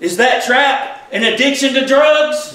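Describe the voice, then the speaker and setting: A man uses a raised, projected voice at an extremely high pitch, with an animated tone. He speaks at a fairly slow pace, and the room echo is audible. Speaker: preacher. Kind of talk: sermon. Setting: church. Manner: animated, fervent preaching with call-and-response; informal, conversational. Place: church. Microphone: camera far.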